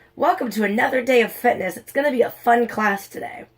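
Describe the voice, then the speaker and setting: A woman puts on a raspy, high-pitched character voice and races along at a very fast pace. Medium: read story. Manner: brisk, cheerful.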